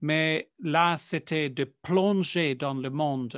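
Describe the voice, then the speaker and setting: Over a quiet background, a man with a non-native accent speaks at a fairly high pitch with ordinary variation, the sound dry and close with no echo. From South Africa. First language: not French (speaking French). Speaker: Jesuit priest. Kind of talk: interview. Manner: halting, with many fillers.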